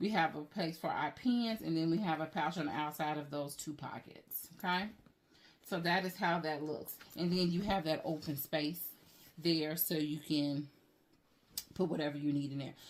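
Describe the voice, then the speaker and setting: At a moderate pace, a woman speaks in a very deep, low voice with ordinary pitch variation. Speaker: handbag reviewer, YouTuber. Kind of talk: product review tutorial. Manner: casual, conversational.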